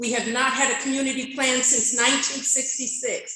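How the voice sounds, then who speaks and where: Audible room echo surrounds a high-pitched woman speaking at a moderate pace. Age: 60s. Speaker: community member at public comment. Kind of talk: public comment speech. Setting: public meeting, speaking at a microphone. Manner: impassioned.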